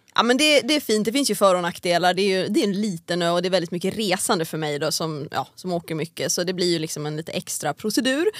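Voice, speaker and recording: A voice with lively intonation races along at a very fast pace. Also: woman, medium pitch for a woman. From Sweden, Järfälla near Stockholm, then Åland from age 12. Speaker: drag racing driver. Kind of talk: casual interview chat. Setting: studio.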